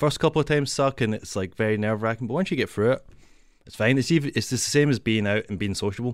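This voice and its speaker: A man talks at a very fast pace in a Glaswegian accent. The recording is very clean, with a silent background. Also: medium pitch for a man, ordinary pitch variation. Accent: Glaswegian Scottish. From Scotland, Glasgow. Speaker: comedian. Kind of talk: casual chat. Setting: radio studio.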